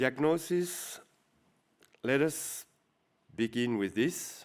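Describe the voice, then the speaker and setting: A man speaks at a very slow pace, his intonation lively. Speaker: healthcare executive giving keynote. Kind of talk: keynote speech.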